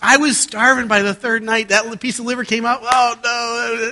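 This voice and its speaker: In a raised, projected voice, a man talks with a high pitch and an animated, bright, sharp tone. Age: 50s. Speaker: guest preacher and airline pilot. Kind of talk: sermon.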